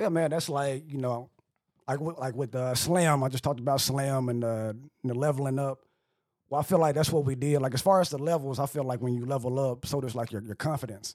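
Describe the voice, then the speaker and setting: In a very clean recording with a silent background, a man talks at a fairly quick pace with medium pitch and fairly even intonation. He has a plain, everyday voice. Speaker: podcast co-host. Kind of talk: casual chat.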